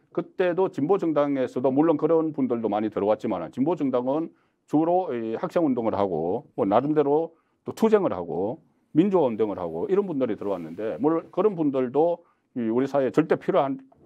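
A man's fairly quick delivery with very wide pitch swings over a quiet background. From Jinju, South Gyeongsang, then Seoul from age ten. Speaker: newspaper journalist and political YouTuber. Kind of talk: interview. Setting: studio. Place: studio. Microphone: lapel.

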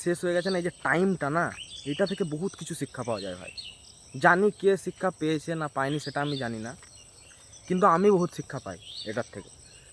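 An ordinary speaking voice from a man, with lively intonation, big swings in loudness and a dry, close sound with no echo. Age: 20s. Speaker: student vlogger. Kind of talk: casual vlog monologue.

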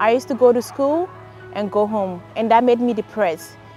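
The voice moves at a moderate pace with ordinary pitch variation, sounding dry with no echo while faint music plays in the background. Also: woman. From Ghana. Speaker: college graduate. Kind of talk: interview answer. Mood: warm, reflective. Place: open country. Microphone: lapel.

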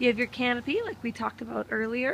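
With noticeable background noise behind her, a woman speaks at a moderate pace in a high pitch, the sound dry and close with no echo. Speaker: car salesperson. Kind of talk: vehicle walkaround video for customers. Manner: friendly, casual.

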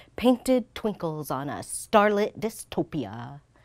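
Against a quiet background, a woman with an American accent speaks with very wide pitch swings. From United States. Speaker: war veteran and poet. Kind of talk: spoken word poetry performance. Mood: angry, pained. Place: studio. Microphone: lapel.

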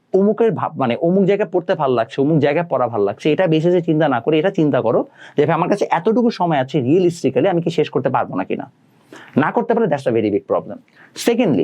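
With vocal fry and a fairly high voice, a man swings very widely in pitch while his loudness stays very even. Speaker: online ICT tutor. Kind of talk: educational talk to students. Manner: casual, mixes English words.

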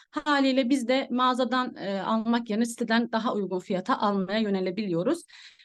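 Delivered at a fairly quick pace, the speech has lively intonation. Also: woman. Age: 20s. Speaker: network marketing distributor, former teacher. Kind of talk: sales presentation. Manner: halting, many fillers. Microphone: phone mic.

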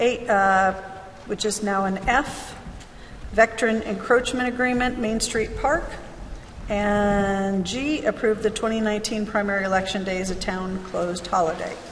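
With a plain, everyday voice, a woman speaks at a fairly slow pace with an American accent, fairly high pitch and fairly even intonation over light background noise. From US Midwest. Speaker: council member. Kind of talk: formal motions. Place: meeting room. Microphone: podium.

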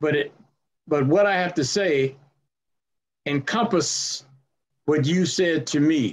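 A man with a fairly high pitch speaks very slowly, leaving long, frequent pauses. His pitch varies in an ordinary way. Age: old. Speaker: farmer advocate and former track athlete. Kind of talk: panel discussion. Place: home room. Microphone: video call.

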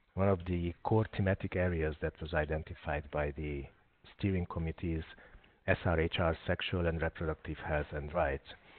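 At a moderate pace, a man talks with a very deep, low pitch. His intonation stays fairly even. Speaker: webinar host. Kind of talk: webinar introduction. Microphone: video call.

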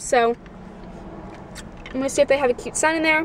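Recorded dry with no echo and light background noise, a woman speaks high in pitch with ordinary pitch variation. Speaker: vlogger. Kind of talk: casual vlog chat. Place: car. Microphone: phone near.

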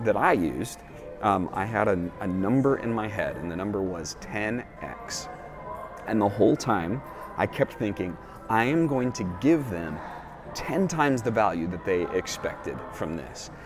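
With music in the background, a man talks at a moderate pace, his fairly low voice carrying lively intonation. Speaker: keynote speaker. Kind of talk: casual talk to camera.

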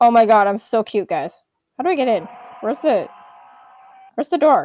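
Her pitch fairly high for a woman, she speaks at a fairly quick pace and swings very widely in pitch. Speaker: gaming youtuber. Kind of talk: let's play commentary. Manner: animated.

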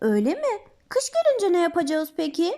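A woman uses a squeaky put-on character voice at an extremely high pitch. Her pitch swings very widely, and she speaks at a moderate pace. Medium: read story. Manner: earnest, patient.

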